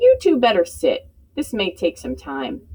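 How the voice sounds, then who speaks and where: A woman uses a put-on character voice, keeping to a moderate pace. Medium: read story. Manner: wry, plainspoken.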